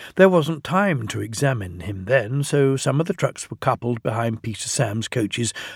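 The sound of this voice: Lively intonation marks the speaker's unforced reading voice.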